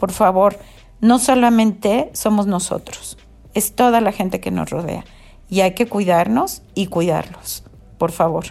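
A woman talks at a fairly slow pace with vocal fry. Her pitch variation is ordinary. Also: medium pitch for a woman. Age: 70s. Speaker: host's mother, COVID-19 patient. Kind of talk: interview testimony.

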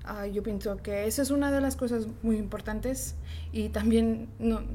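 A woman talks at a fairly slow pace. The room echo is audible. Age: 20s. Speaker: bank IT worker. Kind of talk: group interview.

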